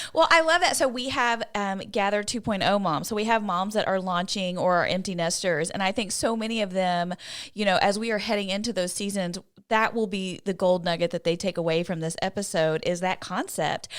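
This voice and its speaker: In a normal speaking voice, a woman talks at a fairly quick pace with medium pitch and ordinary pitch variation on a very clean recording with a silent background. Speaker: podcast host. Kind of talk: casual podcast talk.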